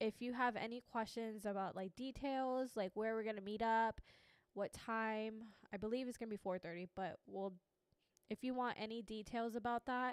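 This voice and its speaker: A woman speaks in a plain, everyday voice at a fairly high pitch and a moderate pace, her intonation fairly even, the sound dry and close with no echo. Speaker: podcast co-host, youth ministry. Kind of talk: casual chat.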